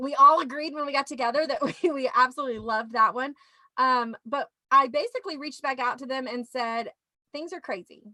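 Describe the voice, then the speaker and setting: With a Louisiana accent, a woman projects a raised, high-pitched voice at a fairly quick pace, her tone bright and sharp, her pitch varying in an ordinary way and her loudness swinging widely, all in a dry, close sound with no echo. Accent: Southern US (Louisiana). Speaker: teacher show host. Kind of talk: casual chat.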